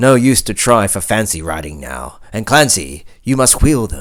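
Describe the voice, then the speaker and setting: A man's fairly low voice carries vocal fry and very wide pitch swings. He keeps a moderate pace. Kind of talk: poem reading.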